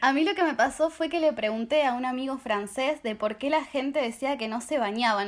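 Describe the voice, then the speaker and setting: A woman with an Argentine accent talks at a fairly quick pace with ordinary pitch variation. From Argentina. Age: 20s. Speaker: au pair. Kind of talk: casual chat.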